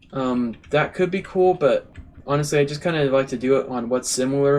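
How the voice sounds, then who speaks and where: This man speaks at a moderate pace. His pitch is medium. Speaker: gaming YouTuber. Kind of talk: let's play commentary. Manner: halting, many fillers; casual.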